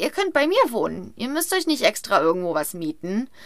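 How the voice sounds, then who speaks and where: In a very clean recording with a silent background, a woman with a high pitch and a bright, sharp tone speaks in a raised, projected voice. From Rhineland, western Germany. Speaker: podcast co-host. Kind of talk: casual storytelling chat.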